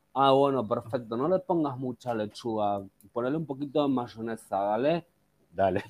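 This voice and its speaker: A man with a Rioplatense accent, medium pitch, ordinary pitch variation and a moderate pace. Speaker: podcast co-host. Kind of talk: casual chat.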